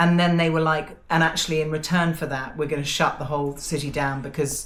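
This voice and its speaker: Amid noticeable background noise and audible room echo, a woman with an English accent talks at a fairly quick pace in a very deep, low voice with monotone, flat intonation. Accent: perfect RP. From England. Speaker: podcast co-host. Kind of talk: casual chat.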